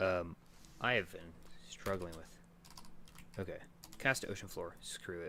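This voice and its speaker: A man mumbles quietly at a very slow pace. His voice is very deep and low, with ordinary pitch variation. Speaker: game developer streamer. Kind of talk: live stream chat while coding. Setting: live stream with webcam. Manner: casual, hesitant with fillers; quiet, mumbling.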